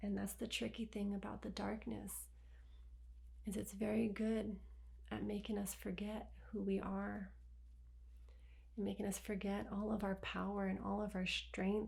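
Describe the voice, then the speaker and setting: Soft-spoken and very even in loudness, a woman talks with long, frequent pauses amid audible room echo. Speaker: spiritual healer. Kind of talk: guided healing session. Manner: slow.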